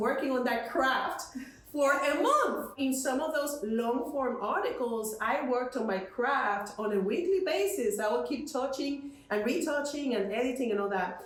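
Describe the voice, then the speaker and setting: Against noticeable background noise and audible room echo, a woman with a non-native accent speaks fairly slowly in a high voice with lively intonation. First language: not English. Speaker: marketing agency founder. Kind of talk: interview.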